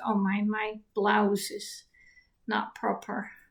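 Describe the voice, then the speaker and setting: A woman's fairly high voice with a Dutch accent. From Netherlands. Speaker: writer and YouTuber. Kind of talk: casual talk to camera on history. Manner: halting, many fillers and restarts.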